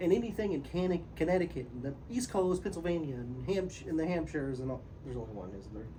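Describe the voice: The speech runs at a very fast pace with hardly any pauses, over noticeable background noise. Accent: American.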